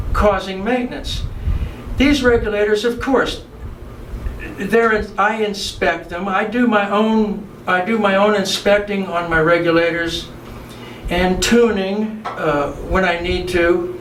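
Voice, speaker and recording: A man with an American accent talks at a high pitch with fairly even intonation. Noticeable background noise and audible room echo are present. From US South, Miami, Florida. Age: 70s. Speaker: vintage scuba diving enthusiast. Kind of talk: tutorial demonstration. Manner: halting, many repetitions and fillers; casual, unscripted.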